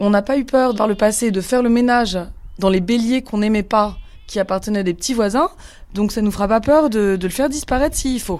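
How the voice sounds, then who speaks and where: A woman's plain, everyday voice, fairly high in pitch, with ordinary pitch variation and a fairly quick pace. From Paris. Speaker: sheep farmer. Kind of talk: testimony.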